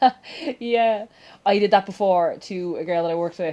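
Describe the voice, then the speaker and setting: A woman with a Dublin accent speaks in a dark, mellow tone. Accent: Dublin Irish. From Ireland, Dublin. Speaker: gaming YouTuber. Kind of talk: casual chat during let's play. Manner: animated.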